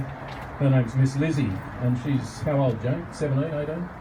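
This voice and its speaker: A man speaks at a moderate pace with fairly even intonation, amid noticeable background noise and audible room echo. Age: 60s. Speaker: garden centre owner. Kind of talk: speech at an industry event.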